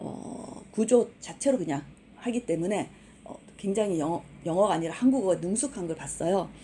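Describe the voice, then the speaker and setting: A woman at medium pitch talks at a moderate pace with lively intonation and big swings in loudness, with noticeable background noise behind her. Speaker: university English instructor. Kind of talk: online lecture. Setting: recorded online class.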